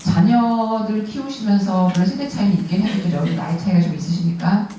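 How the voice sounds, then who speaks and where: A woman's medium-pitched voice at a moderate pace, with ordinary pitch variation, audible room echo and noticeable background noise. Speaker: prayer meeting leader. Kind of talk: sermon. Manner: speeds up when short on time.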